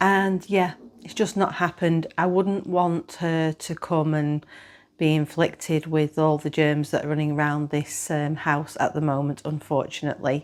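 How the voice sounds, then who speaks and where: This woman has a very deep, low pitch. She talks at a moderate pace. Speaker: knitting vlogger. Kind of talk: casual chat. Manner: hesitant, many fillers.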